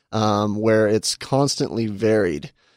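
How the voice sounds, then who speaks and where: A man's normal speaking voice, fairly low in pitch, at a fairly slow pace, in a dry, close sound with no echo and a very clean recording with a silent background. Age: 30s. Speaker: fitness coach. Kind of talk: casual interview. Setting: studio.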